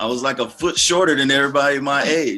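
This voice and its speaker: Music plays in the background as a man with an American accent speaks in a fairly high pitch. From US West Coast, Los Angeles. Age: 40s. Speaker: gospel hip hop artist and minister. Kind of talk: interview testimony. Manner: halting, repeats words.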